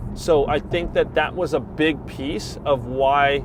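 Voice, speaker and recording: A man is talking. Background noise is noticeable throughout. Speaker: real estate agent. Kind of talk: casual chat. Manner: uses many fillers like um and like.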